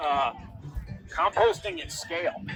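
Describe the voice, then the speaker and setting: Over music in the background, a man with an American accent speaks at a fairly high pitch for a man. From Vermont, US Northeast. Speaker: composting educator. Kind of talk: public talk. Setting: outdoors. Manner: fast.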